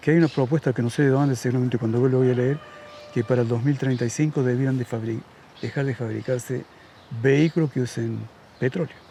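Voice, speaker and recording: A man's fairly quick, fairly even-toned speech over noticeable background noise. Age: 70s. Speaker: radio host. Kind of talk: casual chat.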